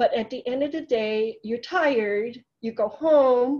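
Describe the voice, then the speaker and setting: Over a quiet background, a woman with a Hong Kong accent speaks at a high pitch in a dark, mellow tone. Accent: Hong Kong Chinese accent in English. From Hong Kong, moved to US as immigrant. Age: 50s. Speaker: surgeon. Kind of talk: interview talk about career. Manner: many fillers (um, uh).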